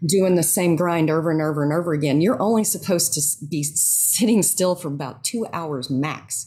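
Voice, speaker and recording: A woman with a very deep, low pitch and a dark, mellow, somewhat breathy tone talks at a fairly quick pace with hardly any pauses and ordinary pitch variation. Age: 50s. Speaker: yoga instructor and writer. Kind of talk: interview.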